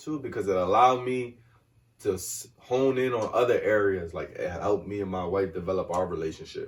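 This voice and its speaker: Soft-spoken, a man with a medium pitch talks at a fairly quick pace with very wide pitch swings. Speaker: guest on a community podcast, works with kids. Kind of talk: casual conversation. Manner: mellow, laid back, soft-spoken.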